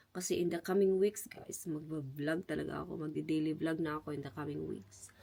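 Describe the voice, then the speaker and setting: This woman's very deep, low voice is dark and mellow with vocal fry, moving at a fairly quick pace with ordinary pitch variation. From Philippines. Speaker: vlogger. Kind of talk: casual vlog talk. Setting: at home.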